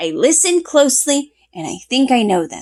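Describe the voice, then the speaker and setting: This put-on character voice is raspy, moves at a moderate pace, and swings very widely in pitch. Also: woman. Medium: read story.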